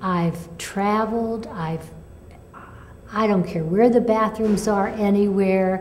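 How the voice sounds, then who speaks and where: At a very slow pace, a woman of medium pitch speaks with fairly even intonation, amid audible room echo and noticeable background noise. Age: 70s. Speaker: patient sharing recovery story. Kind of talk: testimony. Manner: halting.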